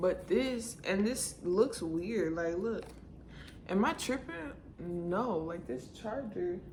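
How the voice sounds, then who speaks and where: A quiet woman's voice at a very slow pace with lively intonation, amid noticeable background noise and audible room echo. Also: medium pitch for a woman. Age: 20s. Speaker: beauty vlogger. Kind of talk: casual vlog unboxing. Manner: quiet, low-key.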